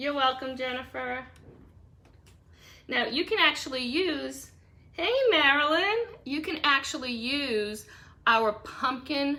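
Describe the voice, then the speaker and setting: A woman with an American accent, high in pitch, lively in intonation, at a very slow pace. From Boston. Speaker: craft live streamer. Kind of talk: live craft tutorial. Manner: casual, chatty.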